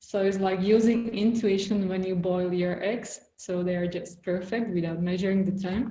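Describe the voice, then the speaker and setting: A woman's dark, mellow, somewhat breathy voice at medium pitch, moderate in pace with hardly any pauses and monotone, flat intonation. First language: Slovak. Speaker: visual artist and writer. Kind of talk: casual conversation interview.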